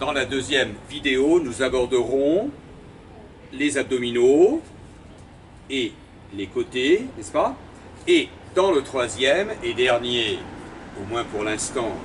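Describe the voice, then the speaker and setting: A man with a medium pitch speaks at a very slow pace, with lively intonation and long, frequent pauses. Noticeable background noise runs underneath. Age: 60s. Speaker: theatre and dance company director. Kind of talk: exercise tutorial. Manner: formal.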